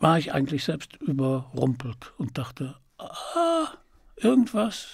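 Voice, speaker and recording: The speech moves at a very slow pace, with a dry sound, no echo and a quiet background. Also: man. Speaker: voice actor and audiobook narrator. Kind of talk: interview answer. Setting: interview. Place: studio. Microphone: studio mic.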